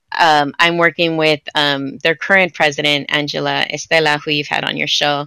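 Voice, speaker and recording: Against a quiet background in a dry recording with no echo, a woman with an American accent speaks at a moderate pace with a very deep, low pitch, a bright, sharp tone and monotone, flat intonation. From Santa Ana, Orange County, California; California. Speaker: writer and theater producer; podcast guest. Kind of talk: interview conversation. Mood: warm, reflective, smiling.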